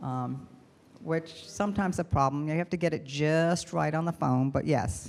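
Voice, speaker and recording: A woman's very deep, low pitch with ordinary pitch variation. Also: moderate pace. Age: 70s. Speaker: computer technician speaker. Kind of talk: Q&A talk to seniors forum.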